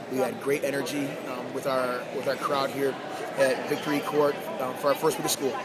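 Crowd noise fills the background. Over it, a man talks. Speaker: volleyball coach. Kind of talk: post-match interview comments. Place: hall. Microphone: phone near.

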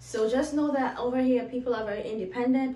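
The woman's tone is dark and mellow. Her voice has audible echo from the room. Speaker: YouTuber and international student. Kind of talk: tips video for viewers. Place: home room.

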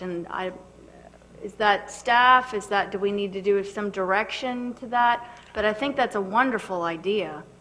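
Her tone bright and sharp, a woman speaks at medium pitch and a fairly slow pace with ordinary pitch variation.

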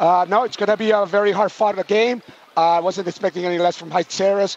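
Against noticeable background noise, a man talks in a high, monotone voice with flat intonation. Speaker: basketball coach. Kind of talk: post-game interview.

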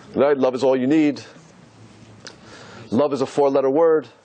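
This man has a fairly high voice, heard with noticeable background noise behind it. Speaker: rabbi. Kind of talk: religious lecture to a live audience.

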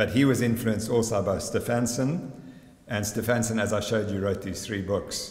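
A man speaks at a medium pitch with ordinary pitch variation. Room echo is audible. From South Africa. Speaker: sports scientist. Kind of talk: conference presentation. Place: hall. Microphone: podium.

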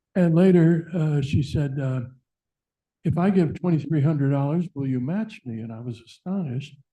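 A man with a fairly high pitch and a dark, mellow tone speaks at a moderate pace, somewhat breathy, with big swings in loudness. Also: ordinary pitch variation. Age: 70s. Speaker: public commenter, donor and retired teacher. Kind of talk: public comment at board meeting. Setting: public board meeting.

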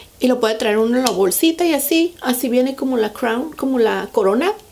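A woman speaks at a moderate pace with a fairly high pitch. Her slightly mellow tone carries some vocal fry.

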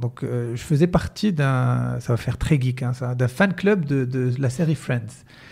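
A man with a dark, mellow tone, somewhat breathy, with ordinary pitch variation. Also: quiet background. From Morocco. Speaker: entrepreneur and mentalist; podcast guest. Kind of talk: casual interview chat. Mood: relaxed, smiling. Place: office. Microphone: studio mic.

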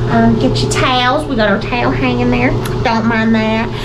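Noticeable background noise accompanies a woman talking at a fairly quick pace. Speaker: travel vlogger. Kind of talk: casual vlog chat. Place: bathroom. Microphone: phone near.

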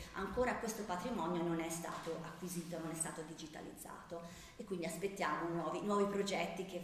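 A woman talks fairly quickly while noticeable background noise fills the recording. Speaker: art curator. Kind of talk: conference talk. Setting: lecture hall with audience and microphone. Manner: hesitant, many fillers.

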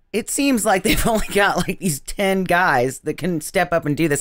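In a very clean recording with a silent background, the words come fairly slowly. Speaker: podcast co-host. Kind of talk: casual chat.

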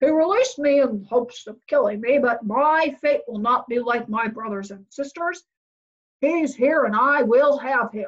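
A woman's put-on character voice, growling and high-pitched, at a moderate pace. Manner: growling, menacing.

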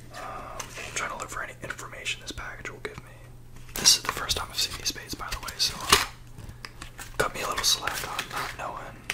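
A man whispers. His pace is moderate. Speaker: fishing ASMR YouTuber. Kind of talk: ASMR unboxing and lure review. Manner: soft-spoken, whispered. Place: home room. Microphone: studio mic.

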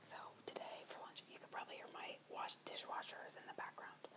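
A woman whispering. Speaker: ASMR livestream host. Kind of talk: ASMR eating livestream. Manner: whispered. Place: kitchen. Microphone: earbuds.

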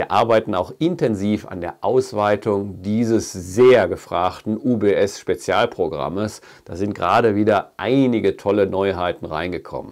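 A man speaks fairly slowly with a fairly low pitch, ordinary pitch variation and hardly any pauses. His loudness swings a lot against a quiet background. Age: 50s. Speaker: fishing shop owner and angling YouTuber; angling YouTuber. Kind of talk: video address to viewers. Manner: earnest. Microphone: lapel.

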